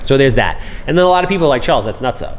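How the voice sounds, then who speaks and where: Someone talks at a very fast pace with an American accent. Noticeable background noise and audible room echo surround the voice. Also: man. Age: 40s. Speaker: podcast host, real estate investor. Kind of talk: casual chat.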